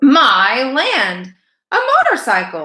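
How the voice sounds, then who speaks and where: In a put-on character voice, a woman speaks at a medium pitch. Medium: read story. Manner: disapproving.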